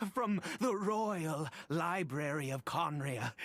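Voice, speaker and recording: In a put-on character voice, a man speaks very slowly at a fairly high pitch. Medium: video game. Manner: hesitant, stammering, with nervous laughs.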